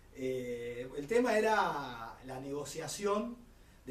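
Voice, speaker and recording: Against noticeable background noise and audible room echo, a man with a Rioplatense accent speaks with very wide pitch swings. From Buenos Aires, Argentina. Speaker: carnival figure. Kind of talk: interview testimony.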